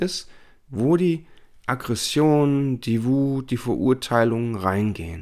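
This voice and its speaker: A man speaks at a medium pitch. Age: 40s. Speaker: life coach and podcast host. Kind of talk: solo self-help monologue.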